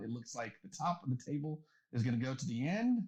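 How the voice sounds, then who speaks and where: A somewhat breathy man with an American accent and a fairly high pitch. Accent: southern accent, may come out. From eastern North Carolina. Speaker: podcast host. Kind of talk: casual chat; episode intro rundown.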